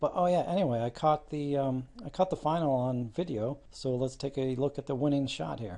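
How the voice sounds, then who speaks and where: A quiet man's voice, dark and mellow in tone, fairly high-pitched, with lively intonation at a fairly quick pace. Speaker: darts news youtuber. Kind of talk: casual vlog commentary. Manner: subdued, kept quiet.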